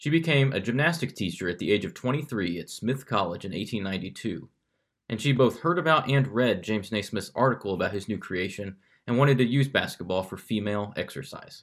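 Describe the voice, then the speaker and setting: On a very clean recording with a silent background, a medium-pitched man with an American accent speaks fairly quickly in a plain, everyday voice. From Kansas City. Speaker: podcast host. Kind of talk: scripted narration; casual interview.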